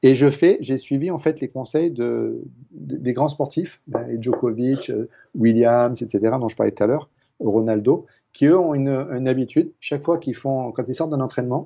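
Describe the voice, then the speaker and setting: This man's pitch sits in the medium range and varies in an ordinary way. He keeps a moderate pace. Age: 60s. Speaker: water expert and author. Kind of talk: interview. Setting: TV studio. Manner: hesitant, many repetitions.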